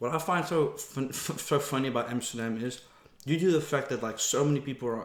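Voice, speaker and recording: A man talks with a Dutch accent and ordinary pitch variation. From Netherlands. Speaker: mukbang vlogger. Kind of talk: casual chat. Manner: casual, relaxed.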